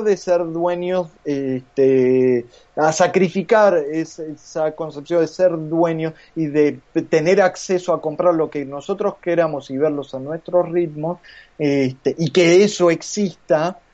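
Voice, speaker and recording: A man with a Rioplatense accent, high in pitch, speaking at a very slow pace with ordinary pitch variation. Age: 30s. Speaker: comics artist and illustrator. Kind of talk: casual chat.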